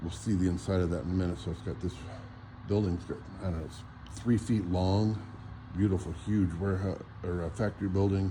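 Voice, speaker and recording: A man's very deep, low voice, dark and mellow and somewhat breathy, with fairly even intonation, a fairly quick pace and audible room echo. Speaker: model railroad hobbyist. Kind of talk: casual walk-around video tour. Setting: hotel convention hall.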